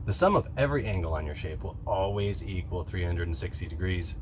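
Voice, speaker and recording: There is vocal fry in this man's voice as he talks at a fairly quick pace. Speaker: woodworking youtuber. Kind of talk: tutorial. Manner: fast.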